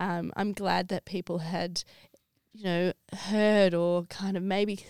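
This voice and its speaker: In an Australian accent, a woman speaks at a fairly slow pace with monotone, flat intonation. The recording is very clean, with a silent background and a dry, close sound with no echo. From Australia (Sydney). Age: 30s. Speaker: stadium events sales manager. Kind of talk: casual interview chat.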